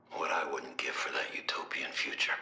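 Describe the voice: A man whispers in a put-on character voice. His pace is moderate.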